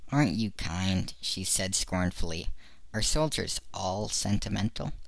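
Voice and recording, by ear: Someone is reading aloud in a natural voice.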